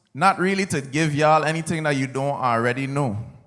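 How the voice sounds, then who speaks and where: A man talks with an American accent and lively intonation. Audible room echo surrounds the voice. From US Virgin Islands, St. Croix. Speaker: soca artist, commencement speaker. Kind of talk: commencement speech. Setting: stage with audience at graduation ceremony.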